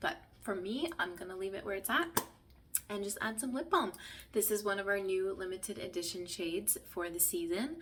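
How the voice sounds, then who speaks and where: A woman talks at a moderate pace, medium in pitch, with lively intonation. It is an ordinary speaking voice. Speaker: makeup tutorial creator, beauty consultant. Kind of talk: tutorial. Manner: casual, chatty.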